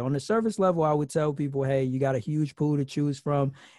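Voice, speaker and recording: A man talks at a fairly quick pace with a fairly high pitch and ordinary pitch variation. It's an ordinary speaking voice against a quiet background. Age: 30s. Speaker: podcast host on dating and singleness. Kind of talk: casual interview.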